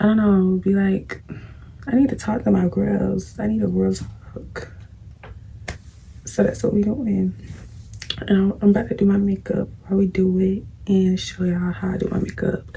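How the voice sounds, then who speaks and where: Long, frequent pauses at a moderate pace, against noticeable background noise. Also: woman. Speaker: beauty vlogger. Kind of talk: casual chat while doing makeup. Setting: at home, late at night. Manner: casual, conversational.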